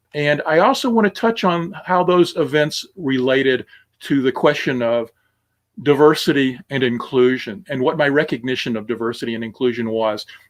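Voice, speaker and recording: With an American accent, a man talks in an ordinary speaking voice, his fairly high pitch carrying lively intonation. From US South, Alabama (Tuscaloosa). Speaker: minister. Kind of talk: sermon. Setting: recorded online service. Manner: conversational, with many fillers.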